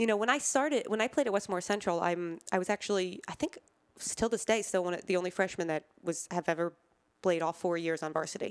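A woman's medium-pitched voice at a very fast pace. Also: ordinary pitch variation. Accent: American. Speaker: cancer survivor, former college athlete. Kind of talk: interview.

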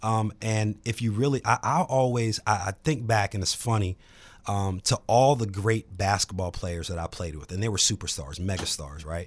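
With a plain, everyday voice, a man speaks at a fairly low pitch and shows ordinary pitch variation. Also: moderate pace, very clean recording, silent background. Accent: American. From Virginia, Charlottesville. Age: 40s. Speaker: real estate agent and author. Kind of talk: casual chat.

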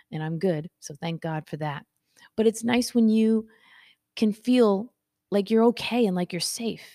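A woman's medium-pitched, dark, mellow voice at a moderate pace with ordinary pitch variation, in a dry, close sound with no echo on a very clean recording with a silent background. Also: big swings in loudness. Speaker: motivational podcast host. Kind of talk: casual live video monologue. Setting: live stream.

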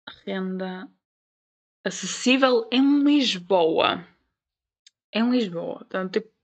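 Speaking with a European Portuguese accent, a woman uses lively intonation at a medium pitch. Her pace is very slow, with long, frequent pauses. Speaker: podcast host. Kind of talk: casual monologue.

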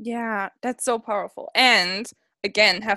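A woman speaks with a bright, sharp tone at a fairly high pitch. The sound is dry and close, with no echo. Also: quiet background. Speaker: podcast host. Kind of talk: casual interview. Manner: animated.

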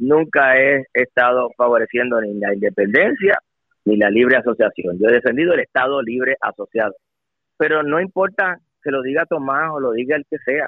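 Using lively intonation, a man with a medium pitch speaks at a moderate pace. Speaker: politician. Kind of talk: radio interview. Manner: halting.

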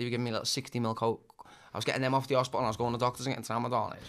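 An energetic man at a medium pitch, talking very fast. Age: 30s. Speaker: recovering addict. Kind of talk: casual interview chat.

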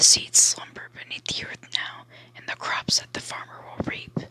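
Whispering in a gentle tone at a fairly slow pace, with noticeable background noise. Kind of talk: ASMR reading aloud of a bedtime story book. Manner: soft, hushed, lulling sing-song cadence for the gentle lines.

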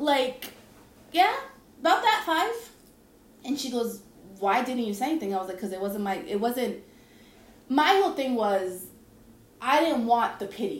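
A woman speaks at a moderate pace in a high voice with very wide pitch swings, leaving long, frequent pauses. Room echo is audible, and background noise is noticeable. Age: 30s. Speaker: podcast host. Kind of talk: casual chat.

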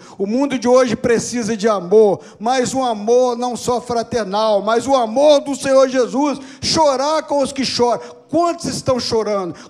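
A man's extremely high-pitched voice at a fairly slow pace, with noticeable background noise. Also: ordinary pitch variation. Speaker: pastor. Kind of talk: sermon. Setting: church service.

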